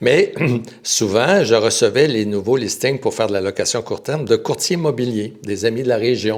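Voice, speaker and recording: A man with a Quebec accent talks at a moderate pace in a medium pitch, with ordinary pitch variation. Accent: Québécois French. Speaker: real estate broker. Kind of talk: podcast interview. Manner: halting.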